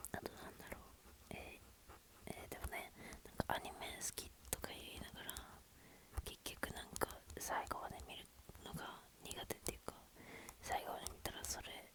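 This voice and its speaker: Noticeable noise fills the background. Over it comes whispering. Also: woman. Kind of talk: ASMR whispered chat to camera. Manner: whispered, casual, rambling.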